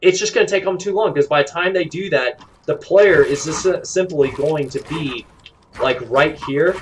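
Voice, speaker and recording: A man speaks in a high pitch with ordinary pitch variation. Noticeable background noise sits behind him. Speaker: gaming streamer. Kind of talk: tutorial. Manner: fast; halting.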